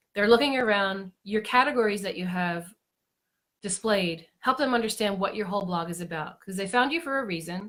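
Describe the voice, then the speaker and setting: Here a woman talks in a plain, everyday voice at medium pitch. Her pitch variation is ordinary and her pace moderate. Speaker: blogging coach. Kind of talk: live-stream tutorial. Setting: Facebook Live broadcast.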